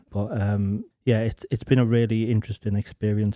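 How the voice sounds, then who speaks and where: A man with an English accent, very fast and monotone, fairly low-pitched with a dark, mellow tone, in a dry, close sound with no echo. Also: very clean recording, silent background. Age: 30s. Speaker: church member. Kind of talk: casual discussion. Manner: halting.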